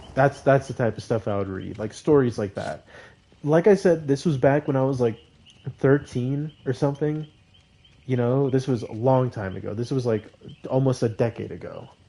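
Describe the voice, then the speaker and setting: A man talks at medium pitch and a moderate pace, with ordinary pitch variation. Background noise is noticeable. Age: 20s. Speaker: gaming streamer. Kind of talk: casual live stream chat. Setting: live stream. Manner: animated.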